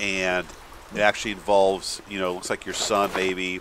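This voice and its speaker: A man speaks with a very deep, low pitch. Noticeable background noise runs under his voice. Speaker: gaming youtuber. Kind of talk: gameplay commentary. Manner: animated; fast.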